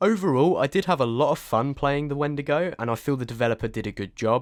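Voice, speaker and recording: A man talks at a very fast pace with a British accent. The recording is very clean, with a silent background. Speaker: game reviewer. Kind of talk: scripted review.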